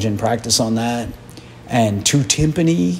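A man with an American accent at a moderate pace, light background noise behind him. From US, Philadelphia; Pennsylvania. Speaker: retired orchestra percussionist and educator; educator. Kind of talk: interview; interview answer. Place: hall. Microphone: handheld.

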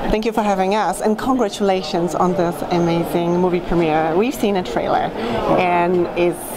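Moderate pacing against loud background noise. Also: woman. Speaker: red carpet host. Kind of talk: red carpet interview. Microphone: handheld.

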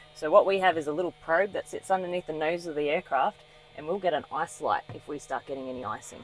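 Over faint music in the background, a woman speaks fairly quickly at a fairly low pitch with ordinary pitch variation, in a dry sound with no echo. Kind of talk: explanatory tour talk. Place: plane. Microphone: phone near.

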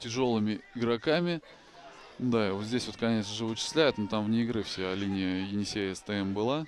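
Crowd noise fills the background. A man talks at medium pitch with ordinary pitch variation. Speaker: rugby commentator. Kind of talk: live sports commentary over match highlights. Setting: voiceover on highlights video.

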